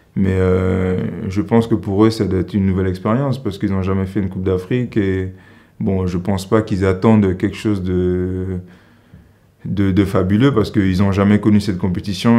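A man's very deep, low voice with a dark, mellow tone, fairly even intonation and a moderate pace, over a quiet background. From Central African Republic. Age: 20s. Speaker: professional basketball player. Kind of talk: interview. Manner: halting. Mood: critical, earnest. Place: studio.

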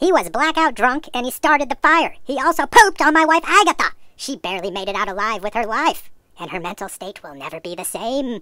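In a very clean recording with a silent background, a high-voiced woman talks at a fairly quick pace with very wide pitch swings and big swings in loudness. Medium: machinima. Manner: exasperated, urgent.

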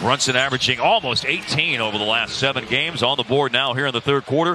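A man's fairly high-pitched voice, dry with no echo, over noticeable background noise. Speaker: basketball play-by-play announcer. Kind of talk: live commentary. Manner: rapid-fire play-by-play, clipped and energetic; excitable on big shots, with bursts of emphasis.

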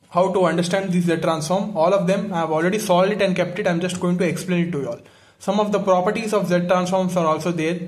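A man rattles off words at a very fast pace, high-pitched and with monotone, flat intonation. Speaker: teacher explaining notes. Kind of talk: lecture. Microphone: phone near.

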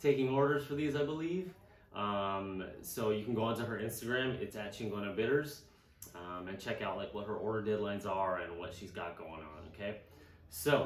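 A man speaks at a moderate pace with a fairly low pitch. His loudness swings widely, and room echo is audible. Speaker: co-host presenting a cocktail. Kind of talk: casual food pairing show chat. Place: home room. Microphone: camera far.

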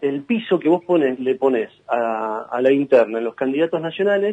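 A man's voice sounds dark and mellow. He speaks with lively intonation. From Buenos Aires, Argentina. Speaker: provincial senator. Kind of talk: radio interview.

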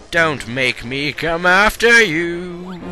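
A man performs a put-on character voice at a high pitch. Clear background noise runs underneath. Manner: taunting, playful.

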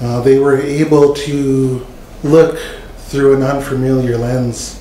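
Amid light background noise and audible room echo, a man talks at a fairly slow pace in a monotone, flat intonation. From Canada. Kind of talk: testimony. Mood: earnest, heartfelt. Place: meeting room. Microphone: podium.

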